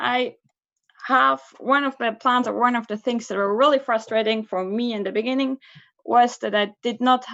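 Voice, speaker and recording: Speech in a Swiss German accent comes at a moderate pace with ordinary pitch variation. The background is quiet. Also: woman. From Switzerland, Basel. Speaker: student association officer. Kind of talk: candidacy speech. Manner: casual, hesitant.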